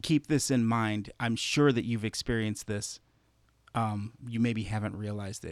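On a very clean recording with a silent background, a man speaks in a plain, everyday voice at medium pitch, with fairly even intonation and a moderate pace. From Chicago, US Midwest. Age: 40s. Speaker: podcast host and musician. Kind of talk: casual interview chat; scripted podcast intro.

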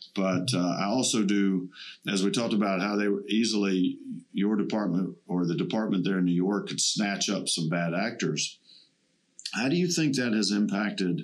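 A man speaks with an ordinary speaking voice at a fairly low pitch and a moderate pace. His pitch varies ordinarily, and his loudness stays very even. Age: 50s. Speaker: podcast host, veteran. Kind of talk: casual interview. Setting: studio.

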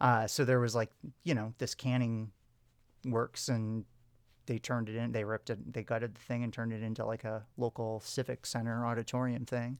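In a very clean recording with a silent background and a dry, close sound with no echo, a man with an American accent talks at a fairly quick pace in a medium pitch with monotone, flat intonation. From Wisconsin, US. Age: 30s. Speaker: English teacher. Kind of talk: casual chat.

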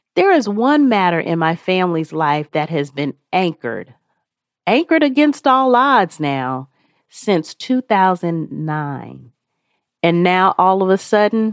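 A woman with a fairly low voice speaks at a fairly slow pace, her pitch swinging very widely. The recording is very clean and dry, close with no echo and a silent background. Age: 50s. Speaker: podcast host. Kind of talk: devotional reflection.

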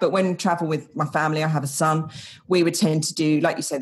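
A woman speaks with an English accent. Her pitch is very deep and low. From England. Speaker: expat travel guide. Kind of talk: casual interview.

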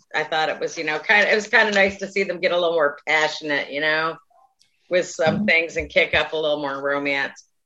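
This woman has an ordinary speaking voice, fairly low in pitch, with ordinary pitch variation and a fairly quick pace. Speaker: podcast co-host. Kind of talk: casual chat.

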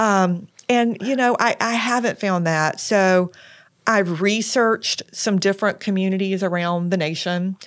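Heard in a very clean recording against a silent background, the voice is an unremarkable speaking voice with an American accent and ordinary pitch variation. It moves at a fairly slow pace with very even loudness. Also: woman, medium pitch for a woman. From South Carolina, Lexington. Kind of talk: interview.

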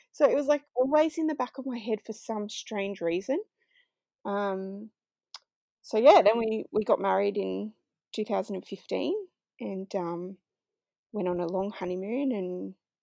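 Speaking fairly slowly with lively intonation, a woman with an Australian accent sits at medium pitch in a dry, close sound with no echo. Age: 30s. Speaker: IVF patient and mother. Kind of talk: interview testimony.

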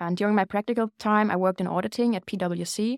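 The speaker has a German accent and fairly even intonation. The recording is very clean, with a silent background. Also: woman. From Germany. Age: 20s. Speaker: student podcast co-host. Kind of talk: casual chat.

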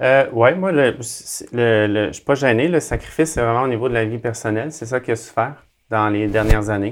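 A man's medium-pitched voice moves at a fairly quick clip, its pitch shifting in an ordinary way. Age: 40s. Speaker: athlete and speaker. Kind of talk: interview. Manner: halting.

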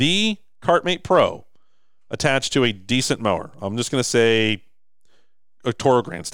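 A man speaks at a moderate pace and a medium pitch, with very wide pitch swings. There are long, frequent pauses, and the recording is very clean with a silent background. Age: 30s. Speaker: business owner and podcast host. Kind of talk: pitchman rant. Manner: blunt, emphatic, scolding.

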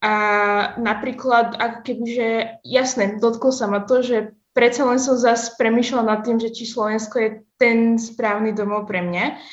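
A woman's fairly high voice, monotone and flat, at a fairly slow pace. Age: young. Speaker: university student. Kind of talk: casual interview. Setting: video call.

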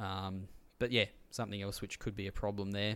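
A man's fairly low pitch in an Australian accent, with monotone, flat intonation, in a very clean recording with a silent background. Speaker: podcast host. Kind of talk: casual chat.

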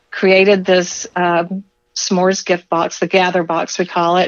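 A woman speaks very slowly in a flat monotone at a medium pitch. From Alabama. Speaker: food business founder. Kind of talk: casual interview.

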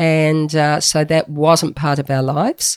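A fairly slow-paced woman, her pitch very deep and low. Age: 70s. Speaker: pastor and retired nurse.

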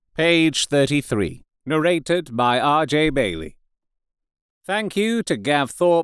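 In an ordinary speaking voice, a man with a fairly high pitch talks fairly slowly and with lively intonation, recorded dry and close with no echo in a very clean recording with a silent background. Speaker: audiobook narrator. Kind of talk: dramatic fiction narration, read aloud. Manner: theatrical, shifting voices for characters.

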